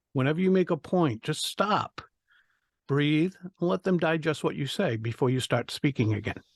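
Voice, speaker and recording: At a moderate pace, the speaker uses lively intonation with a slight Rhode Island accent, heard in a dry, close sound with no echo against a quiet background. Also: man, fairly high pitch for a man. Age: 60s. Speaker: public speaking coach. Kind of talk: podcast interview.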